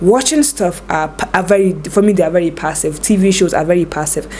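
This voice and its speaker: Over noticeable background noise, a woman speaks at a moderate pace in a medium pitch with ordinary variation. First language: not English. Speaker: lifestyle vlogger. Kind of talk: advice vlog. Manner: casual, conversational.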